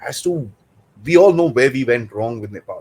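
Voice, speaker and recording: A man with a medium pitch speaks at a fairly quick pace, his somewhat breathy voice carrying lively intonation. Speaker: geopolitics show host. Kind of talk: interview.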